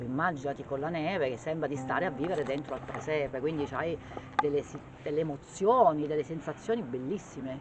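Speech at a very fast pace with ordinary pitch variation comes through over noticeable background noise. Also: woman. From Abruzzo, Pietracamela (Teramo). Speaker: local business owner. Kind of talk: interview.

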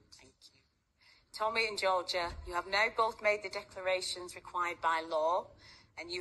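Bright, sharp tone from a woman at a moderate pace, with fairly even intonation. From Bolton, England. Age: 60s. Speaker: wedding registrar and celebrant. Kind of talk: wedding ceremony officiating. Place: hall.

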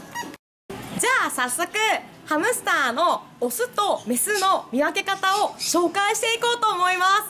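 Over light background noise, a woman uses a raised, projected voice at an extremely high pitch and a fairly slow pace, with very wide pitch swings and big swings in loudness. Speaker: pet shop staff. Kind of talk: pet shop explainer video co-host. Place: shop. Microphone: phone near.

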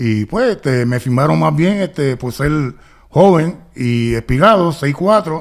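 A man talks at a very slow pace in a fairly high pitch. His intonation is lively, over a quiet background. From Puerto Rico, raised partly in Los Angeles. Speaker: retired basketball player; guest. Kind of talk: interview. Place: studio. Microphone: studio mic.

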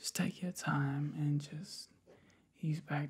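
Whispering and soft-spoken, a man talks at a fairly slow pace in a calm tone. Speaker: relaxation guide. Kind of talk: soft guided relaxation talk. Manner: calm, soft whisper with eyes half closed. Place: home room. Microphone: webcam.

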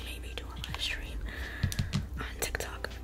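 Loud background noise behind a woman speaking at a moderate pace. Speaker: ASMR creator. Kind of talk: casual makeup tutorial talk to camera. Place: home room. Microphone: studio mic.

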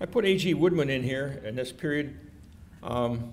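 With a Midwestern American accent, a somewhat breathy man speaks with lively intonation over light background noise. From Detroit, Michigan. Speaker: retired entomology professor and beekeeper; retired entomology professor. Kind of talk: keynote lecture. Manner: hesitant, many fillers. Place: hall. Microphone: podium.

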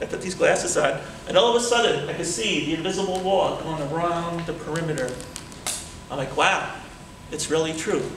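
A man's high-pitched voice at a fairly quick pace, with ordinary pitch variation, audible room echo and noticeable background noise. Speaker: public speaking club member. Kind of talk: storytelling speech at a tall tales contest. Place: hall. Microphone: camera far.

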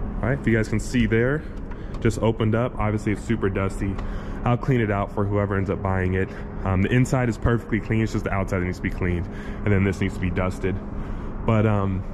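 Noticeable background noise runs under this clip. A man with a fairly low pitch talks at a very fast pace. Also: fairly even intonation. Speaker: private car seller. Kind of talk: casual walkthrough. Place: garage. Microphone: phone near.

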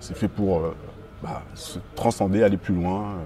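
A man with a fairly low pitch talks over light background noise. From mainland France, Guadeloupean family. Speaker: musician, band frontman. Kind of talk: interview.

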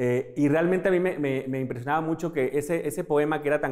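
A fairly high-pitched man at a fairly quick pace, ordinary pitch variation, and a quiet background. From Mexico. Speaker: teacher. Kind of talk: interview. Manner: halting. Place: classroom. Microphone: lapel.

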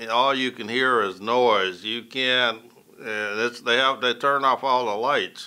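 Very slow in pace, a man speaks with a bright, sharp tone. His pitch varies in an ordinary way. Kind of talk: interview answer. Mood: calm, reflective. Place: studio.

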